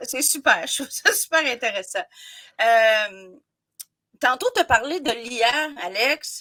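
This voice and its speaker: A woman in a Quebec accent, high-pitched with very wide pitch swings, her raised, projected voice bright and sharp, at a very slow pace with long, frequent pauses. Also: dry, close sound with no echo, very clean recording, silent background. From Quebec, Côte-Nord. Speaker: podcast host. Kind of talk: podcast interview. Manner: enthusiastic.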